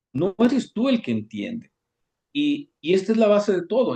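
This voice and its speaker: This man's voice has a dark, mellow tone and swings very widely in pitch. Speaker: Kabbalah teacher. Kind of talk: lecture. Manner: fast.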